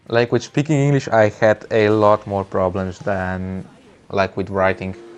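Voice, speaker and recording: A man with a Slovenian accent speaks at a fairly slow pace, his fairly low pitch showing ordinary variation. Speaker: gaming streamer. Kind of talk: live gameplay stream chat. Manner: halting, frequent word repetitions.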